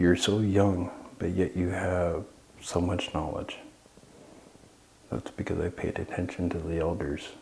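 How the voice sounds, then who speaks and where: A man with a very deep, low pitch and fairly even intonation at a fairly slow pace, with long, frequent pauses, audible room echo, and noticeable background noise. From Southeast Alaska (Klukwan and Sitka). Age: 40s. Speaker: Tlingit cultural knowledge keeper. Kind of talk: interview. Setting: historic hall.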